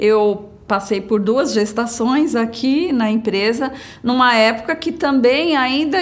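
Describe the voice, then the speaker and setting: Speaking at a very slow pace, a woman uses a fairly high pitch, with audible room echo around her voice. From São Paulo, Brazil (childhood in Brasília). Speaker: company employee, insurance manager. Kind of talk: personal testimony interview.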